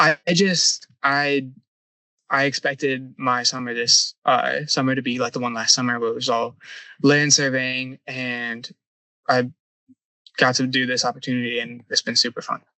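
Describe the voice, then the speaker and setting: With a plain, everyday voice, a man talks at a moderate pace and medium pitch, keeping his intonation fairly even. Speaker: surveying intern, university student. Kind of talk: casual interview. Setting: on a survey boat.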